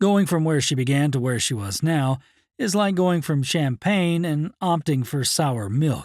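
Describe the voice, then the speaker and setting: On a very clean recording with a silent background, a man with an ordinary speaking voice speaks fairly slowly in a fairly high pitch, his intonation lively and his loudness very even. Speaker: audiobook narrator. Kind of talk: audiobook narration.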